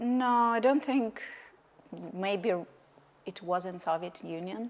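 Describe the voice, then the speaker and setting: Her loudness swings a lot as a woman speaks very slowly. She has a fairly high pitch and ordinary pitch variation. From Russia. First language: Russian. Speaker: podcast host. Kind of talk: casual interview chat.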